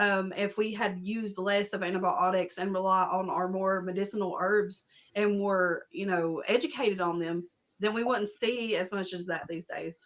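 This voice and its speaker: At a moderate pace, a woman with an Appalachian accent speaks at medium pitch with fairly even intonation. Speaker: herbalist and spiritual practitioner. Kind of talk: casual chat.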